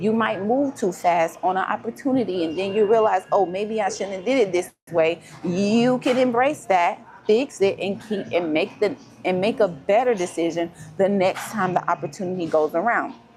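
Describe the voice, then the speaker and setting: Over music in the background, a woman at medium pitch talks at a moderate pace with lively intonation. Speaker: life coach. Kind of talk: motivational talk. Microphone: no microphone on, device mic.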